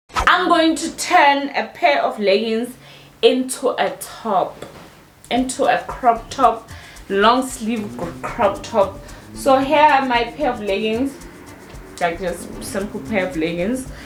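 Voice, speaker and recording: Music plays in the background, and a room echo is audible. A woman speaks very slowly at a fairly high pitch with lively intonation. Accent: non-native. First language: not English. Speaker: fashion YouTuber. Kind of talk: tutorial. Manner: casual, chatty.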